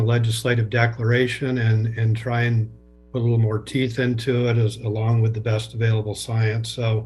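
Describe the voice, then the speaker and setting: At a moderate pace, a man talks in a somewhat breathy voice of medium pitch. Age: 60s. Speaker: public meeting participant. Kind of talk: public meeting comment.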